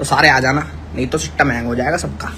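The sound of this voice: A man speaks quickly at a medium pitch over clear background noise. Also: fairly even intonation.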